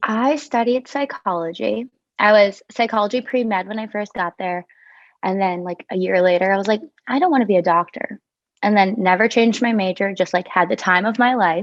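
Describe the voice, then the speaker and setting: With a New York accent, a woman speaks at a medium pitch. Her pace is fairly quick, with ordinary pitch variation. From New York (Clifton Park area). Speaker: travel nurse. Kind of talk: casual chat. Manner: casual, lots of filler 'like'.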